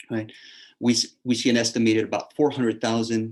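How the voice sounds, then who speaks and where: Recorded very cleanly with a silent background, a man with a South Texas accent speaks at medium pitch. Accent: South Texas American English. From South Texas, Rio Grande Valley. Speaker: history professor. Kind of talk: lecture.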